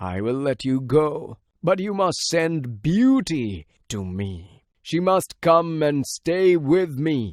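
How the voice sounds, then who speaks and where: In a very clean recording with a silent background, a man does a put-on character voice at a fairly high pitch and a very slow pace. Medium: read story. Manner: grave, heavy.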